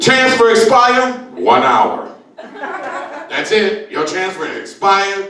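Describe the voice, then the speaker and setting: An animated tone comes through noticeable background noise and audible room echo. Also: man. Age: 60s. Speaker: comedian. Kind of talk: stand-up.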